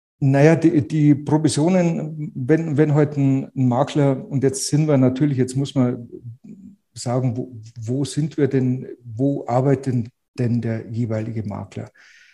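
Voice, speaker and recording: Very slow, somewhat breathy speech in a dark, mellow tone with ordinary pitch variation. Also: man, medium pitch for a man. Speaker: real estate agent. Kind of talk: interview conversation. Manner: repeats words, restarts.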